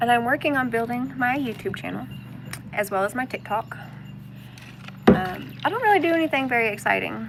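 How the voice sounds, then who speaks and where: With an American accent, a woman talks at a fairly quick pace but with long, frequent pauses, over noticeable background noise. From US South, Arkansas. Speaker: homesteading and spirituality vlogger. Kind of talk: casual live stream chat. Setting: outdoors, floating in a kayak on a pond.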